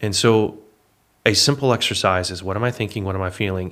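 A man's unremarkable speaking voice with an American accent, fairly low in pitch, with ordinary pitch variation. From Texas. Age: 30s. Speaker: fitness business owner. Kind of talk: casual interview.

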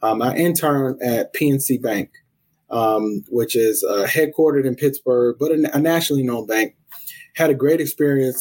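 A man with a plain, everyday voice and an American accent, medium pitch, ordinary pitch variation, moderate pace, and dry, close sound with no echo. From US South, South Carolina (Columbia). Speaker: college athletics administrator. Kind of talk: interview. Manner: frequent fillers (um, uh).

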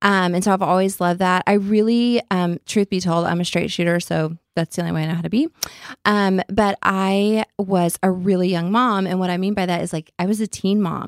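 A woman's medium-pitched voice with an American accent at a fairly quick pace, dry and close with no echo. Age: 40s. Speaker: beauty entrepreneur. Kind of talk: interview. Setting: studio.

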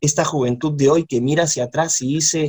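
In an ordinary speaking voice, a man speaks at a fairly high pitch and a moderate pace, with ordinary pitch variation. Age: 40s. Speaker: university professor. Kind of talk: interview.

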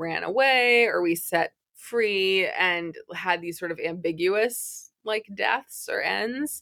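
Here a woman with an American accent has an ordinary speaking voice, medium pitch and ordinary pitch variation. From Massachusetts, outside Boston. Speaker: author and writing teacher. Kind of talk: interview.

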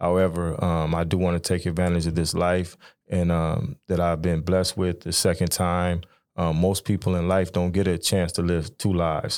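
A man at a very deep, low pitch and moderate pace, monotone and flat, with very even loudness on a very clean recording with a silent background. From Sacramento, California. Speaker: formerly incarcerated man. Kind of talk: podcast interview.

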